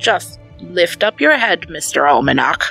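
A put-on character voice moves at a fairly slow pace over faint background music. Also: woman, very deep, low pitch for a woman. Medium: read story. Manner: loud, harsh.

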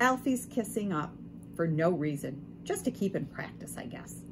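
Lively intonation in an unforced reading voice

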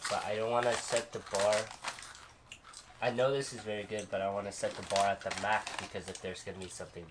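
Over noticeable background noise, a man talks at a very fast pace. His fairly low voice keeps a fairly even intonation. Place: home room. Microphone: camera far.

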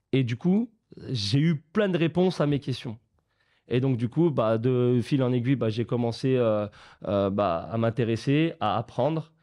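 Over a quiet background, a man talks at a fairly slow pace in a dark, mellow tone. His intonation is lively while his loudness stays very even. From France, of Portuguese descent. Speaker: football academy founder; guest. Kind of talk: casual chat. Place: studio. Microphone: studio mic.

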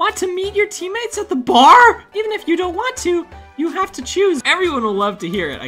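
Faint music plays behind a strained, put-on character voice pitched extremely high. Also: fairly quick pace.

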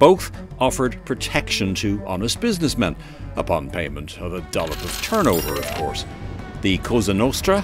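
Music plays in the background as a man talks at a moderate pace. His intonation is lively. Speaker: historian and radio presenter. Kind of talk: light-hearted documentary narration.

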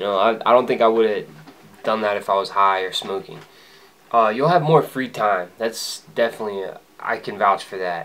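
With ordinary ups and downs in pitch, a man speaks at a moderate speed. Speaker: vlogger. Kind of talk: casual vlog chat. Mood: upbeat, reflective. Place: home room. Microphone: camera far.

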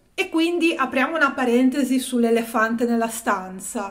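Against a quiet background, a woman speaks with a fairly high pitch. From Italy, Genoa. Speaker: art history youtuber. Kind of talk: video essay / exhibition review. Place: home room. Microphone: phone near.

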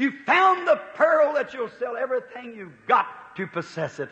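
This man uses a raised, projected voice, his pitch swinging very widely. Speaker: preacher. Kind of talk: sermon excerpt. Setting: recorded church sermon from the 1950s.

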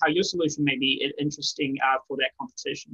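The background is quiet as a man speaks at a fairly quick pace. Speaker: presenter. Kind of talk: presentation talk. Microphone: webcam.

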